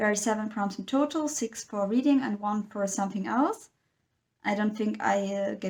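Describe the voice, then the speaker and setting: This is a woman's voice at a medium pitch. It sounds somewhat breathy. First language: not English. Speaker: book vlogger. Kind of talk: casual monologue.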